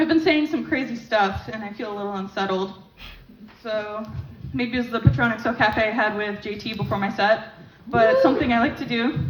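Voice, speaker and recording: Woman at a fairly high pitch, fairly quick pace and ordinary pitch variation, with audible room echo. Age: 20s. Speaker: stand-up comedian. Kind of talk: stand-up. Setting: stage with audience. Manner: fast.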